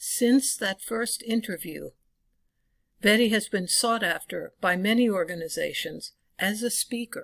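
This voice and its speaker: A woman in a normal speaking voice talks at a fairly slow pace and fairly high pitch with ordinary pitch variation, on a very clean recording with a silent background. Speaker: interviewer and editor. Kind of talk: documentary narration.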